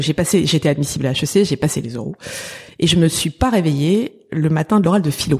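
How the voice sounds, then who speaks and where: A woman with a fairly low voice and a dark, mellow tone talks at a moderate pace. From Paris (19th arrondissement). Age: 50s. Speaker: pastry entrepreneur. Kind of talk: interview.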